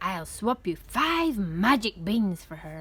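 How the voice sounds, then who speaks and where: A woman doing a put-on character voice, croaky and mid-pitched, speaks at a fairly slow pace with very wide pitch swings. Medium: read story.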